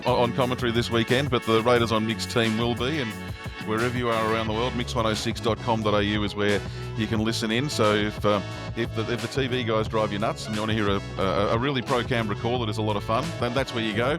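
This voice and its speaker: Music plays behind a man speaking very fast with an Australian accent. His medium-pitched voice keeps a fairly even intonation. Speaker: radio sports commentator.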